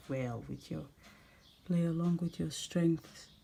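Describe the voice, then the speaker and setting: Speaking with a non-native accent, a woman has a very deep, low pitch, a dark, mellow tone and a somewhat breathy quality. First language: not English. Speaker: home baking channel host. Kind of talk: tutorial. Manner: casual, chatty.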